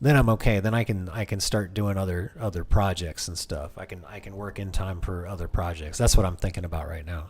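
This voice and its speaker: With hardly any pauses, a man speaks at a fairly quick pace in a very deep, low, somewhat breathy voice, showing ordinary pitch variation and big swings in loudness. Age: 40s. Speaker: gaming streamer. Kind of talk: casual live stream chat. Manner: halting, with many repetitions and fillers.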